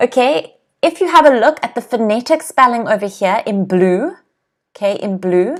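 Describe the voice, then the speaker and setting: Her pitch fairly high, a woman talks at a moderate pace with very wide pitch swings. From South Africa, Cape Town. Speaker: English teacher. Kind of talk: live online English lesson. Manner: clear, explanatory.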